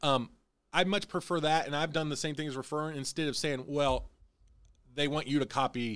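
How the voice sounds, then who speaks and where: A man with a plain, everyday voice in an American accent, fairly high in pitch, at a fairly quick pace with fairly even intonation. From Illinois. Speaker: podcast host. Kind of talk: casual chat.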